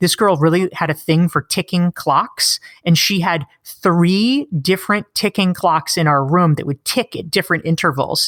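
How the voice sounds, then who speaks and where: A woman with an American accent, fairly low pitch and ordinary pitch variation, dry and close with no echo. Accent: slight Canadian-sounding. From US South, North Carolina. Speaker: author. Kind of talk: interview. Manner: animated.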